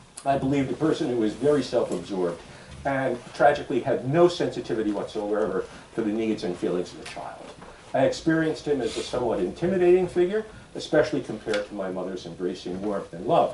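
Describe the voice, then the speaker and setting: Amid noticeable background noise and audible room echo, a man talks at a very fast pace, with very wide pitch swings and big swings in loudness. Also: medium pitch for a man. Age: 70s. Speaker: ethical society leader. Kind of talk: sermon.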